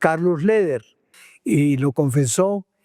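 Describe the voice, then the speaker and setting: A man's high voice has a dark, mellow tone and ordinary pitch variation. The recording is very clean, with a silent background and a dry, close sound with no echo. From Antioquia, Colombia. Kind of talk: interview answer.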